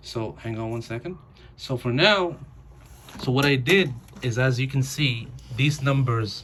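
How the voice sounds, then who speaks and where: Against noticeable background noise, a man of medium pitch talks at a fairly slow pace with ordinary pitch variation and long, frequent pauses. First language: not English. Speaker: new mail carrier. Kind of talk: home tutorial. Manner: halting.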